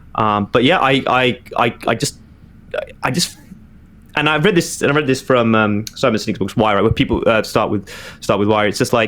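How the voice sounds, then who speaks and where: A man with a British accent speaks at a fairly low pitch. He talks at a fairly quick pace over noticeable background noise. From Birmingham, England. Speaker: digital marketing director. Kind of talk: podcast interview. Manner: halting, many repetitions and fillers.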